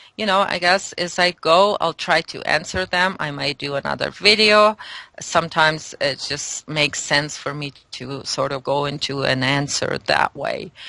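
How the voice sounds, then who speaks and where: A woman with a non-native accent speaks at a fairly low pitch in a bright, sharp tone. The sound is dry and close, with no echo. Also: ordinary pitch variation, moderate pace. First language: not English. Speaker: spiritual guest. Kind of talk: interview. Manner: halting.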